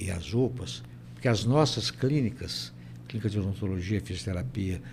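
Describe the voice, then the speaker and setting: A man with a very deep, low pitch and vocal fry makes very wide pitch swings, with audible room echo around him. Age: 80s+. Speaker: university rector. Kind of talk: interview. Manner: halting, repeats words.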